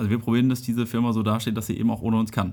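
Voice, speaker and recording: The intonation is monotone and flat. The words come very fast. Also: man. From northern Germany, Dithmarschen. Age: 30s. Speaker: entrepreneur. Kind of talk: interview.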